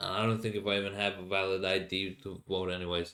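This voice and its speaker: A man with a Finnish accent, talking at a fairly quick pace with fairly even intonation. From Finland. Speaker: podcast host. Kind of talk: casual monologue. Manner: halting, many fillers.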